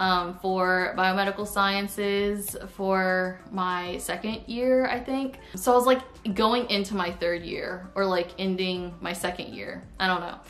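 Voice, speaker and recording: A woman with an American accent talks in an ordinary speaking voice at a medium pitch. Her pace is fairly slow and her intonation fairly even. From Florida. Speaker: YouTuber. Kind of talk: casual vlog storytime. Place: home room. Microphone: camera far.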